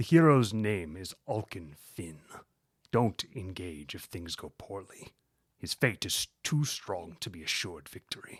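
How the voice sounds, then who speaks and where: This man puts on a character voice with a very deep, low pitch. He speaks at a fairly slow pace. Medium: read story. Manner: cold, scornful.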